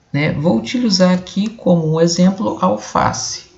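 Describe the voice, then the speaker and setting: A man speaks over noticeable background noise. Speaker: video blogger. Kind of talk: explainer monologue. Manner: slow; halting.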